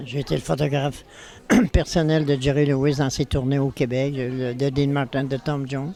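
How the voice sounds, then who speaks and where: Fairly high-pitched male voice with monotone, flat intonation. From Quebec City, Quebec. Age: 80s+. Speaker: photographer. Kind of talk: interview. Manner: halting.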